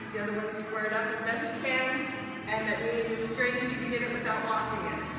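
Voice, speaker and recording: Over noticeable background noise and strong room echo, a woman speaks at a moderate pace. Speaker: fitness coach. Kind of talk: workout instruction. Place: gym. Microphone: camera far.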